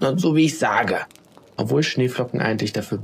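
Reading aloud in a natural voice, pitch varying in an ordinary way

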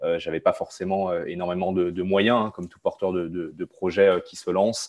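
Words arrive at a moderate pace, the background quiet. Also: man. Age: 20s. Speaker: startup founder. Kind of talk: interview monologue. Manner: halting.

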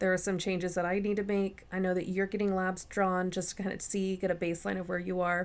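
On a very clean recording with a silent background, a woman with a medium pitch speaks at a fairly quick pace in a monotone, flat intonation. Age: 30s. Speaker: podcast co-host with teaching background. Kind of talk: casual chat; lecture.

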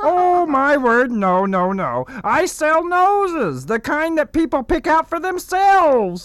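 Speaking at a fairly slow pace with hardly any pauses, a man uses an extremely high pitch. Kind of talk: comic overacting. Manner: smooth, pushy salesman.

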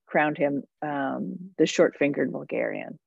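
With an American accent, a woman speaks at a fairly slow pace with vocal fry. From New Jersey. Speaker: food writer and podcaster. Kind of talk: interview conversation. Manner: animated.

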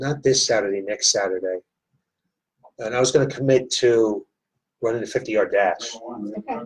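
Somewhat breathy, a man at medium pitch speaks at a moderate pace with fairly even intonation and long, frequent pauses. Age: 60s. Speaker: fitness gym owner and podcast host. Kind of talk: casual interview. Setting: studio at a gym.

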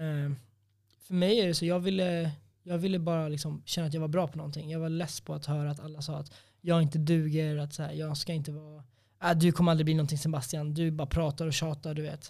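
A man with fairly high pitch speaks at a very fast pace in a monotone, flat intonation. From Sweden, Norrtälje. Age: 20s. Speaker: MMA fighter. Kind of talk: casual chat.

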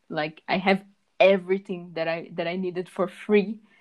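A woman's unremarkable speaking voice at a medium pitch, set against a quiet background. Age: 20s. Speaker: aspiring web developer, podcast co-host. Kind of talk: casual chat.

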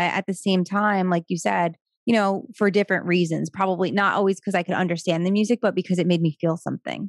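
In an American accent, a woman speaks very fast at a medium pitch with fairly even intonation. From North Jersey, US. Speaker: creative director. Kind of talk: casual interview chat. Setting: video call.

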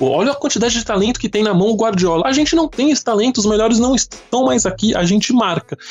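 A man talks at a very fast pace in a high pitch, with lively intonation, very even loudness and hardly any pauses. Noticeable background noise is present. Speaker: football podcast host. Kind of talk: casual chat. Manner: talkative.

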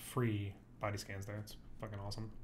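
Audible room echo surrounds a man's voice. He sounds somewhat breathy. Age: 20s. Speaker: fitness podcast co-host. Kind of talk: casual chat.

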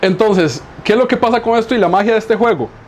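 Speaking at a very fast pace, a man is heard against noticeable background noise. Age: 40s. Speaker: Dungeons & Dragons game master. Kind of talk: casual chat.

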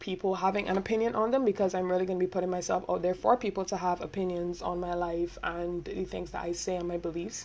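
With a Barbadian accent, a woman speaks in an animated tone at a medium pitch with ordinary pitch variation. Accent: Barbadian (Bajan) English. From Barbados. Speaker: podcaster. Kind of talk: casual solo monologue. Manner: fast talker.

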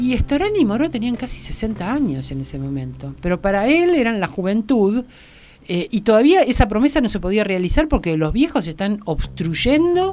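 Over noticeable background noise, a woman with a fairly high pitch speaks at a moderate pace, her voice making very wide pitch swings. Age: 60s. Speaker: philosopher and gender advocate. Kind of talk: interview.

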